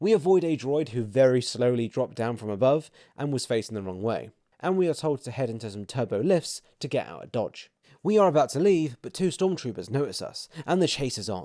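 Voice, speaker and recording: Speaking at a fairly quick pace with a British accent, a man with a medium pitch and a dark, mellow tone makes very wide pitch swings in a very clean recording with a silent background. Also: big swings in loudness. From Britain. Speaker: theme park reviewer, YouTuber. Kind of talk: scripted video narration. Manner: casual, humorous narration.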